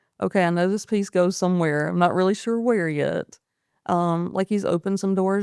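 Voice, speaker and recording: A woman with an American accent and medium pitch at a fairly quick pace, in a very clean recording with a silent background and a dry, close sound with no echo. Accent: noticeable country. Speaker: paramedic. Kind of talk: interview conversation. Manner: animated.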